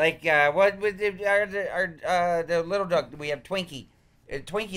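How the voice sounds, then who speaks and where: The speaker is a man with a high pitch. He talks at a moderate pace with ordinary pitch variation. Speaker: podcast co-host, comedian. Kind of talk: casual podcast storytelling. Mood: jokey, laughing. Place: studio.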